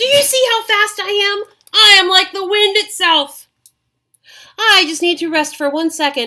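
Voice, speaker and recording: Putting on a character voice, a woman speaks at an extremely high pitch. Her pace is moderate. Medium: read story. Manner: charming, self-assured.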